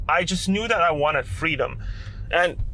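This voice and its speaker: A man speaks in a Lithuanian accent at a high pitch. His pitch varies an ordinary amount. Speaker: content creator. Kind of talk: vlog monologue.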